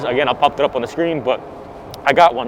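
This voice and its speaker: A man's very fast, mumbling speech at a fairly high pitch with ordinary pitch variation, over noticeable background noise. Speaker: e-bike vlogger. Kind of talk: casual ride vlog commentary. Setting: outdoors riding e-bike at night. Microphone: muffled by gaiter mask.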